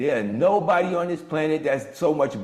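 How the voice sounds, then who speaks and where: With audible room echo, a man speaks in an animated tone at a moderate pace. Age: 60s. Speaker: motivational speaker and mastermind host. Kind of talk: motivational coaching talk on a video call. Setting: video call.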